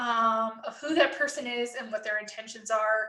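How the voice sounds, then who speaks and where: This woman has a bright, sharp tone and a Canadian accent, with ordinary pitch variation. Her voice is raised and projected. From Canada. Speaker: nursing professor. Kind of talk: tutorial. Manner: casual, conversational.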